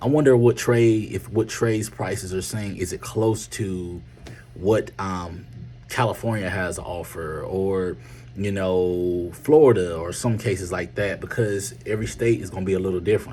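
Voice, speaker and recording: A man with a North Carolina accent speaks at a moderate pace in a very deep, low pitch with lively intonation. Music plays in the background. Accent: Southern US, North Carolina. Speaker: medical transportation business owner. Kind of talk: casual video talk, business advice. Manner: hesitant, many fillers.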